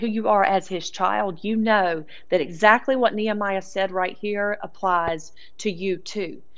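A woman speaks with a Southern US accent. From US South. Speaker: Bible teacher. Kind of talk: sermon. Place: studio.

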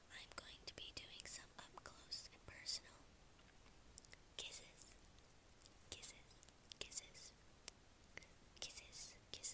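Whispering at a very slow pace. Long pauses come often. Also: woman. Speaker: ASMR creator. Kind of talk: ASMR whispered talk to camera. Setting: close microphone, home recording. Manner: whispered, soft-spoken. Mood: warm, grateful. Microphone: earbuds.

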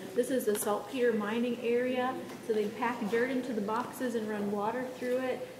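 Over noticeable background noise, a woman speaks at a moderate pace in a high, flat monotone. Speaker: park ranger guide. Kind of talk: tour guide explanation. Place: tunnel cave. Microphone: camera far.

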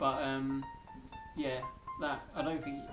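A man's voice over clear background music. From England. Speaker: vlogger. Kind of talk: casual talk to camera. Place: home room. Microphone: camera far.

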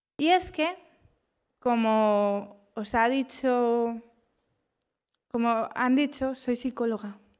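A woman speaks at a high pitch and a very slow pace. Her speech has long, frequent pauses. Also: ordinary pitch variation, quiet background. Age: 30s. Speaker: psychologist; speaker. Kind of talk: motivational talk. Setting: stage with audience. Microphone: handheld.

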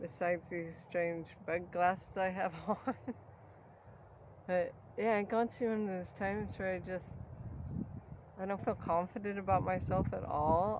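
A woman at a fairly slow pace, with ordinary pitch variation and noticeable background noise. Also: dry sound with no echo. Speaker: artist vlogger. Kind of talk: casual vlog chat. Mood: low, self-doubting. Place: open country. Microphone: phone near.

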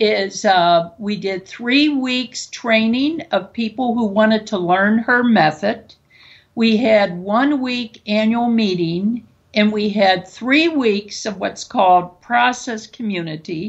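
At a very slow pace, a woman talks in a fairly high pitch. Her voice is somewhat breathy, with ordinary pitch variation. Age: 70s. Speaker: psychotherapist and nursing professor. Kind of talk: interview conversation. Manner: halting.

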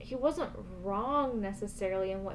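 Light background noise runs beneath a woman's voice. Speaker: video reviewer. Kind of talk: casual vlog chat about a show episode. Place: home room.

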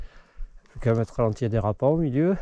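The speech comes at a fairly slow pace, with a dry sound and no echo. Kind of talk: casual vlog commentary. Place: forest. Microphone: phone near.

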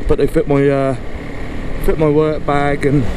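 At a moderate pace, the speech comes through with a dry sound with no echo and noticeable background noise. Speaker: motorbike commuter vlogger. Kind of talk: casual vlog chat. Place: motorbike. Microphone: helmet.

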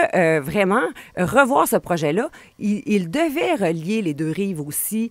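Speaking at a very slow pace, a woman makes very wide pitch swings, and the sound is dry with no echo. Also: quiet background. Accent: Quebec. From Quebec, Portneuf region (Donnacona); Quebec. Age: 40s. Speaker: political commentator. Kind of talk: radio interview. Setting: radio studio. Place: studio. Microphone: studio mic.

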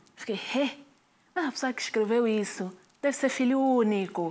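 This woman speaks with an Angolan accent. Her pitch is high. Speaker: stand-up comedian and actress. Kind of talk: stand-up comedy. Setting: stage with audience. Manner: conversational, pausing for laughs, rhetorical questions to the audience. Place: studio. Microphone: handheld.

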